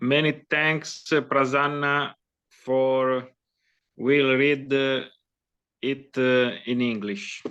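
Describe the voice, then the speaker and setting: Speaking with an Italian accent, a man uses a medium pitch and a bright, sharp tone. His intonation is monotone and flat, his pace very slow, with long, frequent pauses. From Italy. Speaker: poet. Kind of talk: poetry reading.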